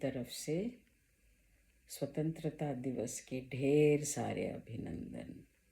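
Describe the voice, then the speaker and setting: With vocal fry and a dark, mellow tone, a woman speaks at a very deep, low pitch with ordinary pitch variation. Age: 70s. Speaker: YouTuber. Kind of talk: personal vlog talk.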